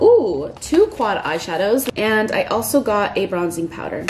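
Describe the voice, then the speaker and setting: A woman is speaking. Light background noise can be heard. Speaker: lifestyle vlogger. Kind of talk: casual vlog chat. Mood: excited, upbeat. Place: home room. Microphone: phone near.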